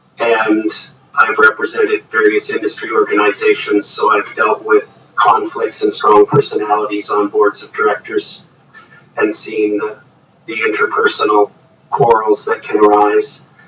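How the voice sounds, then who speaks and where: A man with a Canadian accent speaks at a moderate pace with big swings in loudness and noticeable background noise. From Ontario, Canada. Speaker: lawyer. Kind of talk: inquiry testimony.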